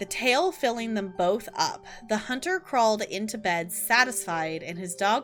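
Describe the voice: The clip consists of plain reading aloud.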